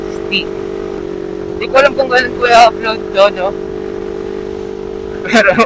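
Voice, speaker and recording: Against noticeable background noise, a man speaks at an extremely high pitch with very wide pitch swings. His pace is moderate, broken by long, frequent pauses. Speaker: motovlogger. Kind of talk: casual vlog narration while riding. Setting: riding a motorcycle on an expressway at night.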